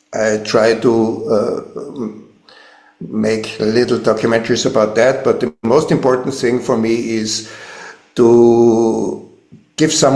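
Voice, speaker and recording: Very slow speech from a man at medium pitch, fairly even in intonation, with audible room echo. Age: 70s. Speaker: filmmaker and musician. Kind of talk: interview. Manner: halting.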